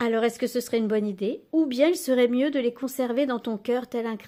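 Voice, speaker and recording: This woman has a fairly high pitch and a gentle, dark, mellow tone. The recording is very clean, with a silent background. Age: 60s. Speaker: journaling and oracle content creator. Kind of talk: casual tutorial. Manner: hesitant, many fillers.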